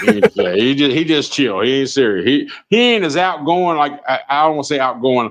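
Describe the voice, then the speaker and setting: The voice is loud and animated, with very wide pitch swings. It moves at a fairly quick pace with hardly any pauses. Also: man, fairly high pitch for a man. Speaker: truck driver and live streamer. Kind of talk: casual live-stream chat.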